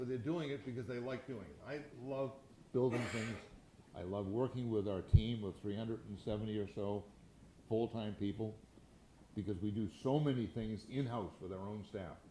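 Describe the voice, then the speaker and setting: Long, frequent pauses break up a man's somewhat breathy, dark, mellow voice, heard with audible room echo. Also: medium pitch for a man, ordinary pitch variation, moderate pace. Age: 80s+. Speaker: real estate entrepreneur and philanthropist. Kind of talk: fireside chat interview. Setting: stage with audience. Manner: halting, frequent repetitions.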